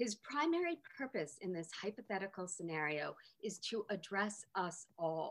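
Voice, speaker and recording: In an ordinary speaking voice, a woman talks at medium pitch and a moderate pace with lively intonation. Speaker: literature professor. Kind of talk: academic talk. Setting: video call.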